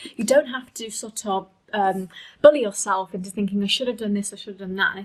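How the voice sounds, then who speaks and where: Her pitch fairly high, a woman talks at a fairly quick pace. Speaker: tarot reader. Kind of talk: tarot reading monologue. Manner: fast; hesitant, many fillers.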